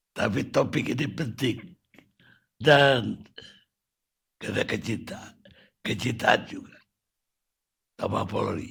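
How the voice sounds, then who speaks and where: Taking long, frequent pauses, a man speaks very slowly at a medium pitch with ordinary pitch variation and big swings in loudness. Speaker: TV discussion show host. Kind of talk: TV talk show hosting.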